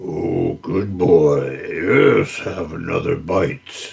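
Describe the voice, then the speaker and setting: Using a put-on character voice, a man speaks raspily at a very slow pace. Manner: muttering to itself.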